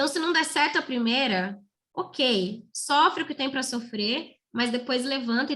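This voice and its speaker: This woman has a high pitch and lively intonation. She talks at a fairly slow pace. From Brazil, São Paulo state (Santa Isabel). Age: 20s. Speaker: motivational speaker, former public school student. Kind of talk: motivational talk to students.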